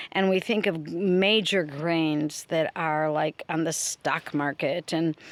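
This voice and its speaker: A woman speaks at a very slow pace and a fairly low pitch, with fairly even intonation. The sound is dry and close, with no echo. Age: 60s. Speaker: retired teacher and video blogger. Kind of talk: casual video monologue. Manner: halting, with fillers.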